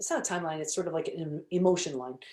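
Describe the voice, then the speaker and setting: A woman speaks in an animated tone at a very fast pace. Her pitch variation is ordinary. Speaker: holistic psychologist and author. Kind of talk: interview.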